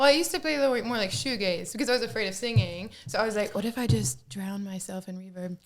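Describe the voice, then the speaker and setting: A woman at a medium pitch, very fast and with hardly any pauses, her pitch swinging very widely and her loudness in big swings, over noticeable background noise. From US South, Alabama. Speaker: singer. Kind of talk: casual chat. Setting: at home.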